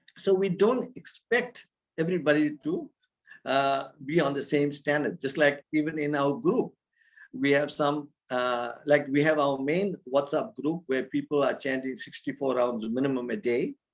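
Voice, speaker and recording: A man speaks at a fairly high pitch with an unremarkable speaking voice. His pace is moderate and his pitch varies in an ordinary way. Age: 60s. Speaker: spiritual teacher. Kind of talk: religious talk. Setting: video call.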